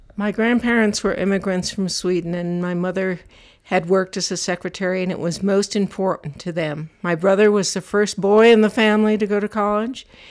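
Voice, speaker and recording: Fairly even intonation and a fairly quick pace mark this unremarkable speaking voice. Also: woman, medium pitch for a woman. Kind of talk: elder telling life story in an interview, recalling childhood and family history.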